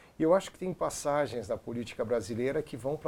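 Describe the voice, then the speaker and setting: The man's voice is fairly high with lively intonation. He speaks at a very fast pace. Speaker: radio host and radio teacher. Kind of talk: interview host conversation.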